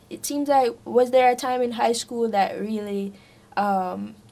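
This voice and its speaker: A woman's dark, mellow tone, fairly high in pitch, at a very slow pace. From Jamaica. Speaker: podcast host, Harvard student. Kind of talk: casual interview conversation.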